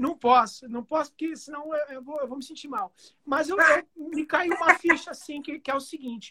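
A man uses a raised, projected voice, extremely high and bright, sharp in tone, with big swings in loudness in a dry, close sound with no echo. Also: ordinary pitch variation, moderate pace. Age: 40s. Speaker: guitarist and music producer. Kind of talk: casual chat.

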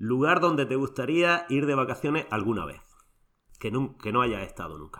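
At a moderate pace, a man with a medium pitch and a bright, sharp tone uses lively intonation, big swings in loudness and some vocal fry. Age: 40s. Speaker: podcast host, rugby referee. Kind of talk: casual interview.

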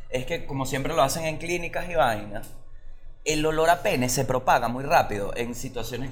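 Amid noticeable background noise and audible room echo, a man talks fairly quickly in a fairly high voice with ordinary pitch variation. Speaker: podcast co-host, comedian. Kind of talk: casual comedic chat.

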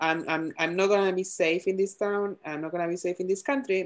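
With an Argentine accent, a woman talks at a moderate pace, her medium pitch showing ordinary variation. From Argentina. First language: Spanish. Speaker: podcast co-host. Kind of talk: casual chat.

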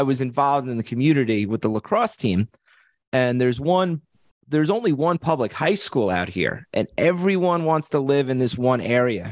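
Talking fairly quickly with lively intonation and an East Coast accent, a man with a fairly high voice is heard in a dry, close sound with no echo. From Long Island, New York. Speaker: real estate investor and agent. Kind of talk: interview.

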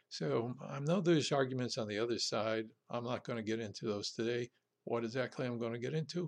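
Over a quiet background, a man talks in a normal speaking voice with ordinary pitch variation. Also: medium pitch for a man. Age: 60s. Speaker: political podcast host. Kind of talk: solo political commentary monologue. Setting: home recording for podcast and video.

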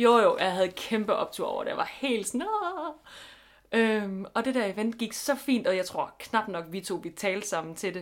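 A woman with an ordinary speaking voice talks at a fairly slow pace, her fairly high pitch showing ordinary variation. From Denmark, Funen. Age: 20s. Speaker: podcast co-host. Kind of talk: casual chat. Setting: home bedroom.

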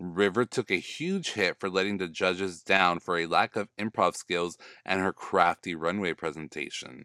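On a very clean, dry and close recording with a silent background and no echo, a man with an American accent speaks at a moderate pace with hardly any pauses, his very deep, low voice bright and sharp in tone and animated. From US South. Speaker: podcast host. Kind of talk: casual recap monologue.

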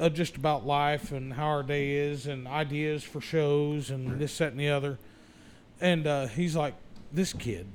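Fairly slow and fairly even in intonation, a man talks with an American accent in a plain, everyday voice. His pitch is fairly high. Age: 40s. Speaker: podcast host. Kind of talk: casual chat.

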